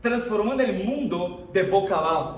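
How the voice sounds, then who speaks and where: Over noticeable background noise and audible room echo, a man with a non-native accent speaks with lively intonation. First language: not Spanish (speaking Spanish). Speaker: preacher. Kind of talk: sermon. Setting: church service with congregation.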